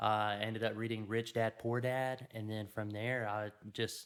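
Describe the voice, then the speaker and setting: This man speaks with a Louisiana accent at medium pitch. His pace is moderate and his intonation fairly even. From Louisiana, US South. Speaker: media company owner. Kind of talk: casual interview.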